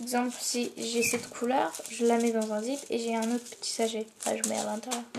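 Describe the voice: A soft-spoken woman talks at a fairly quick pace with vocal fry and a slightly mellow tone. Her fairly high pitch shows little movement, and the room echo is audible.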